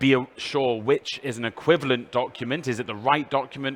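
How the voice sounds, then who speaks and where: Speaking with a British accent, a man uses medium pitch, a fairly quick pace and fairly even intonation. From UK. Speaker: EU official presenter. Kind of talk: presentation.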